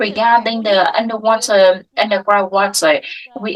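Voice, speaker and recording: A woman with a Vietnamese accent. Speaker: water sector association representative. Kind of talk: panel discussion. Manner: halting, many fillers.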